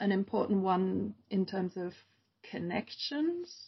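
A woman with an American accent, a medium pitch, a somewhat breathy voice and a very slow pace. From Germany. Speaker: screen dance curator and producer. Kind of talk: interview.

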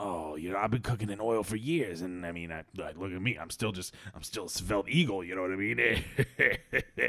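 A man speaks in a put-on character voice with a fairly low pitch. He holds a moderate pace. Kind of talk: improvised comic storytelling. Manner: defensive, whiny, self-pitying.

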